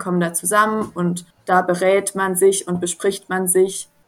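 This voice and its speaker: Flat, monotone intonation from a woman with a medium pitch, at a moderate speed. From southern Baden, near Swiss border. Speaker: social work student. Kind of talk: interview.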